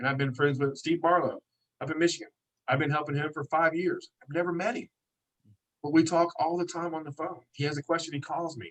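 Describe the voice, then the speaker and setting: This man has an American accent and a fairly high pitch. He talks at a fairly quick pace. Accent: hillbilly. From Kentucky, US South. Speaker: detailing business owner and event organiser. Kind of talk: podcast interview. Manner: animated.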